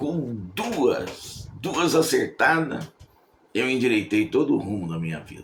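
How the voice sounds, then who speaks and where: Delivered at a very slow pace with vocal fry, the voice shows very wide pitch swings and big swings in loudness. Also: man, medium pitch for a man. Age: 70s. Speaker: evangelical preacher. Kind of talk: sermon. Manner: conversational.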